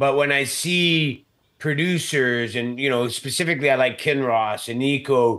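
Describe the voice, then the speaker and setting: A man speaks in an unremarkable speaking voice, with medium pitch, ordinary pitch variation and a moderate pace. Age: 50s. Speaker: mining company CEO. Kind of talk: interview.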